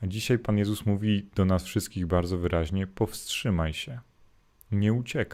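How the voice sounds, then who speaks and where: A man with an ordinary speaking voice, fairly low in pitch, speaks at a moderate pace with ordinary pitch variation on a very clean recording with a silent background. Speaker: Jesuit priest. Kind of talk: morning gospel reflection livestream. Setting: live stream to YouTube and Facebook.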